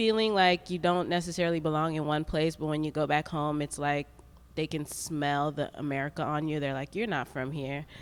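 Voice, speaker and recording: A woman speaks at a fairly quick pace with fairly even intonation. Her voice is very deep and low. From Saint Lucia. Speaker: artist, printmaker. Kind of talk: panel discussion. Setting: art gallery with audience.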